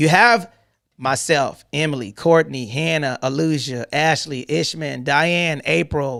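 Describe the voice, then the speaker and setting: A man talks with an American accent. His tone is animated. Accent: country twang. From US South, Atlanta, Georgia. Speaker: real estate investor and show host. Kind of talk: live online town hall teaching.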